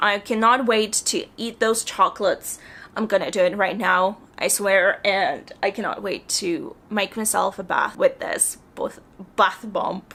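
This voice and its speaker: In a put-on character voice, the speaker sounds hoarse and keeps a moderate pace. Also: woman, medium pitch for a woman. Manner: excited, grateful.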